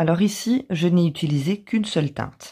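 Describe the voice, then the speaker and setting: At a moderate pace, a woman with a fairly low pitch talks with lively intonation in a dark, mellow, somewhat breathy voice. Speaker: craft youtuber. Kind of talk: tutorial.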